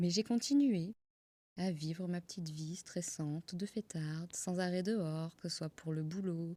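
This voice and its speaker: Recorded dry and close with no echo, a woman with a southern French accent speaks at a fairly slow pace in a dark, mellow tone and fairly low pitch. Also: ordinary pitch variation. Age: 30s. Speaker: yoga teacher and podcaster. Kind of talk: personal story monologue. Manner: hesitant, with fillers and repetitions.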